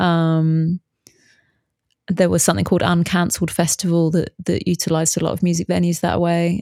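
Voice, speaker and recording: The voice has a British accent and a dark, mellow tone. It moves at a fairly quick pace with monotone, flat intonation and very even loudness. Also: woman, fairly low pitch for a woman. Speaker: bass player and musician, bass teacher, new podcaster. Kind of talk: casual interview chat.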